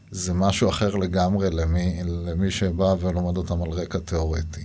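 A man with a very deep, low pitch and a dark, mellow tone, with audible room echo. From Israel, Gaza border kibbutz. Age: 40s. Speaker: avocado farmer. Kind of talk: interview. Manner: halting.

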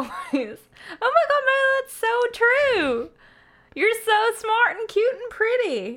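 This is a put-on character voice at an extremely high pitch. It moves at a very slow pace. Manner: gushing, flattering, mocking.

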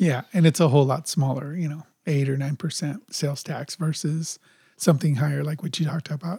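With a General American accent, a man speaks at a fairly quick pace in a fairly high pitch, somewhat breathy and with fairly even intonation. The sound is dry and close, without echo. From Los Angeles. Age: 50s. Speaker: podcast co-host. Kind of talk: casual chat.

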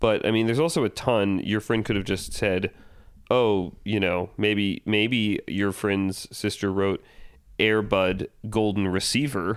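A man with an American accent and an unremarkable speaking voice, fairly low in pitch, at a fairly slow pace and very even loudness, on a very clean recording with a silent background. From US South, Georgia. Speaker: screenwriter, podcast co-host. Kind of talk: casual chat.

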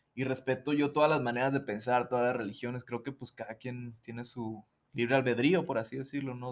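He has an unremarkable speaking voice at medium pitch. The man's pace is moderate, and his intonation fairly even. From Mazatlán, Sinaloa, Mexico. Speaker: musician. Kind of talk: casual interview chat.

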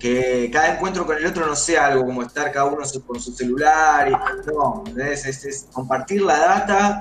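There is audible room echo and noticeable background noise. A man speaks at a fairly high pitch. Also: ordinary pitch variation, moderate pace. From Argentina, Santa Fe. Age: 30s. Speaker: rapper and social psychologist. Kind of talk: interview.

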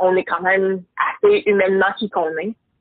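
In a plain, everyday voice, a woman speaks at medium pitch and a moderate pace with fairly even intonation. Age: 30s. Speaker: entrepreneur. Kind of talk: casual chat.

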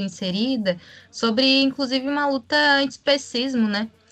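A woman speaks at a fairly slow pace in a high voice with a bright, sharp tone and ordinary pitch variation. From Rio Grande do Sul, Brazil. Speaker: podcast co-host, health professional. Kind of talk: casual political discussion.

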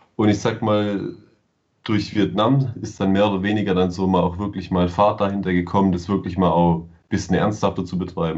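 This man's pitch is very deep and low. His pace is moderate. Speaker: travel blogger, computer science student. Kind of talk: casual chat.

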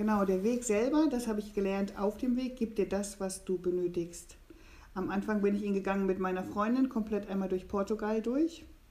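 A woman speaks with ordinary pitch variation at a moderate pace while noticeable background noise runs underneath. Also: medium pitch for a woman. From eastern Germany. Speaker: pilgrim. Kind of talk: casual chat. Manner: halting.

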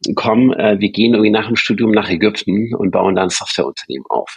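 A man's fairly low voice with ordinary pitch variation, recorded with a dry, close sound and no echo. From Stuttgart, Swabia, Germany. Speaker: bank co-founder and CEO. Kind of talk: interview. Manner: hesitant, many fillers.

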